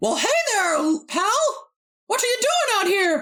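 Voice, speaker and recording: Put-on character voice with an extremely high pitch at a fairly slow pace. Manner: cheerful, friendly.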